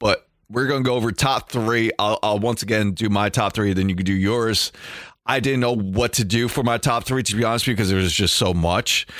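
At a fairly quick pace, a plain, everyday voice holds a very even loudness on a very clean recording with a silent background. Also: man, medium pitch for a man. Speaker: podcast host. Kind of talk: casual chat. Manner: fast, excitable, stumbling repeats.

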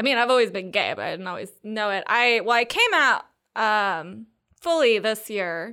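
An ordinary speaking voice with an American accent comes at a moderate pace with ordinary pitch variation. The recording is very clean, with a silent background. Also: woman. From North Carolina, Triangle area. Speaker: comedian, baker and tutor. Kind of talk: casual chat.

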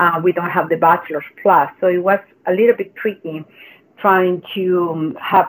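With a Chilean accent, a woman speaks at a moderate pace in a fairly low voice with fairly even intonation. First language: Spanish. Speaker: mental health coach. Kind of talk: casual interview.

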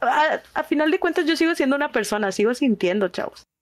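A woman is speaking. Her pitch swings very widely. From Monterrey, northern Mexico. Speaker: streamer and preschool teacher. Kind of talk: casual chat.

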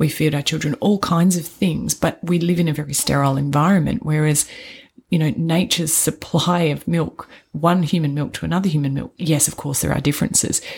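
Fairly quick speech from a woman with a very deep, low pitch, vocal fry and fairly even intonation. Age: 40s. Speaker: podcast co-host, trainee doula. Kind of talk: casual chat.

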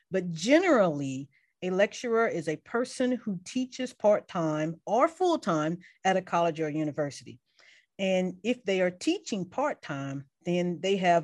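A woman talks at a moderate pace with an American accent, medium pitch and lively intonation. She has a plain, everyday voice, and the background is quiet. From US South, Mobile, Alabama. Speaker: chemistry professor. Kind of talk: interview.

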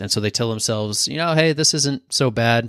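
A man with a plain, everyday voice speaks at medium pitch and a moderate pace. The sound is dry and close with no echo, and the recording is very clean with a silent background. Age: 20s. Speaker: podcast host. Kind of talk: solo motivational talk. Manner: casual, conversational.

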